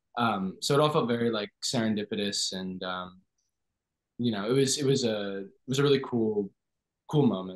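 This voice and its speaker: Over a quiet background, a man talks at a medium pitch and a fairly quick pace with ordinary pitch variation. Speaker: actor. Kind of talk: casual interview. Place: home room. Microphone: video call.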